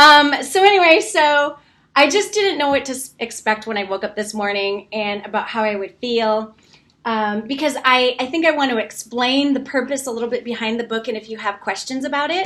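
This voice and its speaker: Fairly quick and lively, a woman's high-pitched voice has a bright, sharp tone. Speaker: brand coach and author. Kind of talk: livestream book launch. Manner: fast.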